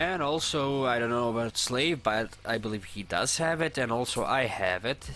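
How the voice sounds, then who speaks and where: A man with a non-native accent at a moderate pace, with hardly any pauses. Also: medium pitch for a man, ordinary pitch variation. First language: not English. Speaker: gaming streamer. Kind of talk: casual chat.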